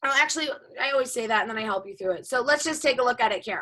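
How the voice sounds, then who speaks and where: A woman projects a raised voice with lively intonation. Her tone comes across bright and sharp. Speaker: high school math teacher. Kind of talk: lecture. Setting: video call.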